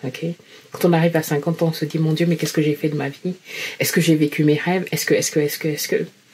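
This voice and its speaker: A woman's very deep, low voice at a very fast pace, monotone and flat, with noticeable background noise. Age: 50s. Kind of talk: personal testimony to camera.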